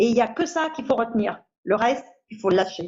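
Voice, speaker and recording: A woman talks at a fairly slow pace. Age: 60s. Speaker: patient with a rare bone disease. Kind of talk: testimony. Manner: hesitant, with fillers.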